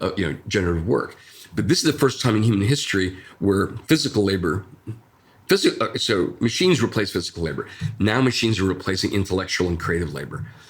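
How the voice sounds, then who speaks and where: A somewhat breathy voice with an American accent at a fairly quick pace. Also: man. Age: 60s. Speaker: designer. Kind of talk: interview. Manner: halting.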